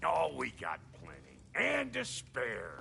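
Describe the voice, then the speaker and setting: A man puts on a character voice that is raspy. He goes at a fairly slow pace, with clear background noise behind him. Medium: video game. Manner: gruff, clipped.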